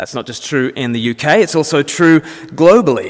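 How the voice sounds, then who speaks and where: Speaking with very wide pitch swings, a man is heard. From Australia. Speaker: Anglican minister and speaker. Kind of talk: public talk. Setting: church event with audience.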